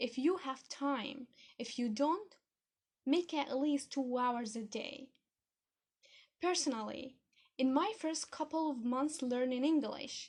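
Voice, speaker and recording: Very slowly and with long, frequent pauses, a woman speaks at a high pitch with ordinary pitch variation. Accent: non-native. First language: not English. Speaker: podcast host, English learning. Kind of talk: podcast monologue. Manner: animated.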